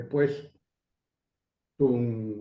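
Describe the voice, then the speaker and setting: The man uses a normal speaking voice at a moderate pace with ordinary pitch variation. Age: 60s. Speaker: education coalition coordinator. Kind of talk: interview.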